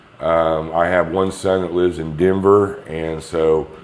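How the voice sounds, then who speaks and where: A man's very deep, low voice in an American accent, monotone and flat, with audible room echo. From Kansas. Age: 60s. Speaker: patient. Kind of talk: interview. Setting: rental apartment.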